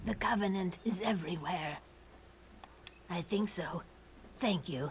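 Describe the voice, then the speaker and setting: A put-on character voice that sounds female, medium in pitch for a woman, delivered at a moderate pace over light background noise. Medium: video game.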